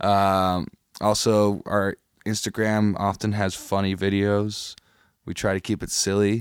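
A man's fairly low voice with an American accent, fairly slow and monotone, dry and close with no echo, on a very clean recording with a silent background. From US Midwest (Chicago). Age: 20s. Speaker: guitarist and producer. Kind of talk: casual chat.

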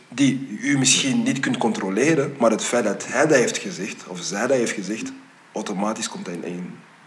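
Talking at a moderate pace and a medium pitch, a man's voice swings very widely in pitch and greatly in loudness, with audible room echo and noticeable background noise. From Belgium. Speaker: podcast host. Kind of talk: casual interview. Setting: studio.

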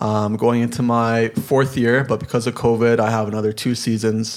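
A man with a Canadian accent, medium in pitch, with monotone, flat intonation at a moderate pace. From Toronto, Canada. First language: Polish. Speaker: semi-pro soccer player and college student. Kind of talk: casual interview.

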